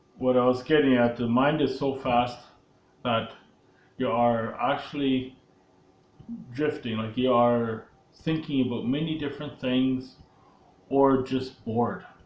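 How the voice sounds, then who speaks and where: A man speaks at a medium pitch and a fairly slow pace, with long, frequent pauses. Room echo is audible. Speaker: sales coach. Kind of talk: tutorial. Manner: hesitant, with filler words.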